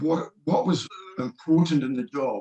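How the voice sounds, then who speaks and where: Speaking at a moderate pace, a man talks with a New Zealand accent. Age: 60s. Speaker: retired engineering professor and trader. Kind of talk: interview. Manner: halting.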